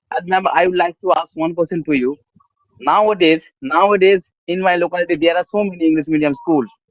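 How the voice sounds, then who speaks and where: A man talks very fast in a high voice, keeping ordinary pitch variation. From West Bengal, India, village area. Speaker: English learner. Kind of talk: casual chat. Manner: halting.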